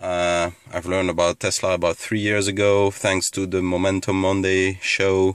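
Speaking at a fairly slow pace, a man with a very deep, low voice keeps a monotone, flat intonation in a dry sound with no echo. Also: quiet background. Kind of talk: casual vlog chat. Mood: pleased, thankful. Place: car.

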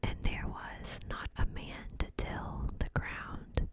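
A woman whispering. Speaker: ASMR creator. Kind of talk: scripture reading. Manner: whispered, soft-spoken. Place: home room. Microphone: studio mic.

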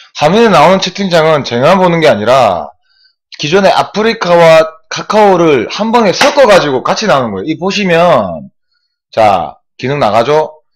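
Over a quiet background, a man speaks at a high pitch and a moderate pace, his pitch swinging very widely. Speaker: swimming live streamer. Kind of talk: casual live-stream chat explaining the chat overlay. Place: home room. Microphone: webcam.

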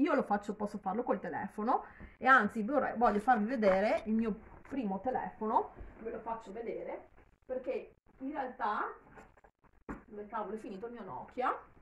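A woman speaks at a moderate pace in a fairly high pitch with ordinary pitch variation, big swings in loudness and long, frequent pauses. Light background noise and audible room echo are present. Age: 50s. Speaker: YouTuber; gossip vlogger. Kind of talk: casual vlog commentary. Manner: halting, with repetitions. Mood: earnest, critical, somewhat animated. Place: home room. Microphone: phone near.

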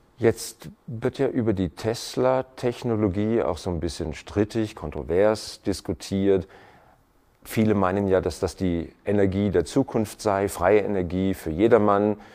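A man talks at a fairly slow pace in a fairly low pitch, his tone dark and mellow. The background is quiet. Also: ordinary pitch variation. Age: middle-aged. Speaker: TV talk show host. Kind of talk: interview. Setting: home living room studio.

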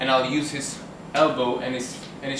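A man's flat, monotone voice at a moderate pace, with noticeable background noise. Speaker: self-defence instructor. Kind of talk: tutorial. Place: bar. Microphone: camera far.

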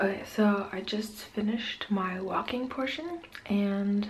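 A woman's voice with ordinary pitch variation. Light background noise can be heard. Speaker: vlogger. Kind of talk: casual vlog chat. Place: home room. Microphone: phone near.

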